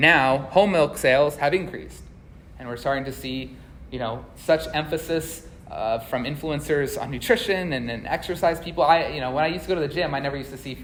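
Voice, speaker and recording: A man with a fairly high pitch and ordinary pitch variation talks at a fairly quick pace, with big swings in loudness and audible room echo. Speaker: agricultural economist. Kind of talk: conference presentation. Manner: fast.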